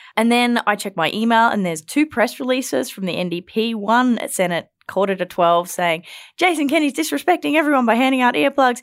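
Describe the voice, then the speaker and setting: With hardly any pauses, a woman with a fairly high pitch speaks at a fairly quick pace in an animated tone with very wide pitch swings, in a very clean recording with a silent background. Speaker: podcast host and political reporter. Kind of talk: casual panel discussion. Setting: studio. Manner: animated, laughs often.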